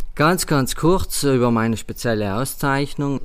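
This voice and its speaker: Fairly slow, mid-pitched male speech with ordinary pitch variation. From South Tyrol, Schnals valley. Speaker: head waiter and sommelier. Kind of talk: interview. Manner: halting.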